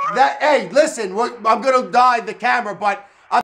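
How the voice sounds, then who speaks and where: A raised, projected voice in an animated tone, with ordinary pitch variation and a moderate pace amid noticeable background noise. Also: man. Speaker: radio show host. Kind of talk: casual phone-in chat. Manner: loud.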